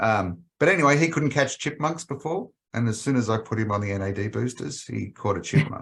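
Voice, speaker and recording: A man at a fairly quick pace with medium pitch, lively intonation and hardly any pauses. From Australia. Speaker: animal health company executive. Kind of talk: podcast interview.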